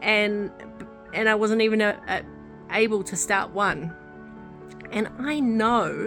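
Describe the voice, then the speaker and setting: Someone speaks in a New Zealand accent while music plays in the background. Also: woman. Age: 30s. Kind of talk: casual talk to camera.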